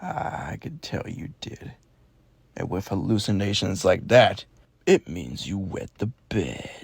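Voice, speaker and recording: A man puts on a raspy character voice pitched fairly low. He delivers it at a fairly slow pace. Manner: taunting, mocking.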